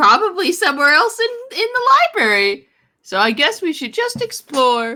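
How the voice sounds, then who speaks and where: In a put-on character voice, the speaker talks at a high pitch and moderate pace, with very wide pitch swings. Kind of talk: tabletop roleplay in character. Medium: actual play. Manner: tags sentences with "hoot hoot".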